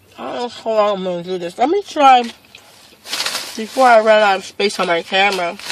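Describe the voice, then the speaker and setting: Noticeable background noise runs under talk delivered at a fairly quick pace. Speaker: vlogger. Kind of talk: mukbang vlog, casual talk while eating. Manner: casual, rambling with fillers.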